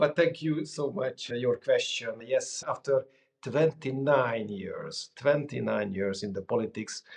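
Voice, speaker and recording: A man speaks with a Hungarian accent. His pace is fairly slow. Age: 40s. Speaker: former politician. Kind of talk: interview. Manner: hesitant with fillers.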